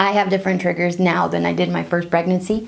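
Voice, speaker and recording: A woman with a fairly low pitch and a dark, mellow tone talks at a fairly quick pace, with room echo audible. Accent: slight Brazilian. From Brazil. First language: Portuguese. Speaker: pregnancy tips vlogger. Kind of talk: casual tutorial. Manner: conversational, informal.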